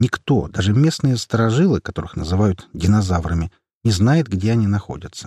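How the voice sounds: Intonation is lively in this natural reading voice, set against a quiet background.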